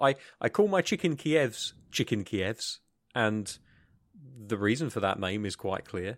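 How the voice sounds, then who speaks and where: A man speaks in a British accent, his pitch swinging very widely, with long, frequent pauses. The recording is very clean, with a silent background. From UK. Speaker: podcast co-host. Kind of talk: casual chat. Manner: hesitant, many fillers.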